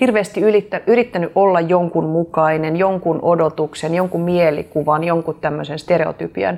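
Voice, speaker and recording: A plain, everyday voice from a woman, fairly low-pitched, with ordinary pitch variation, a moderate pace and very even loudness. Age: 40s. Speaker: podcast host and coach. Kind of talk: casual interview. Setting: video recording.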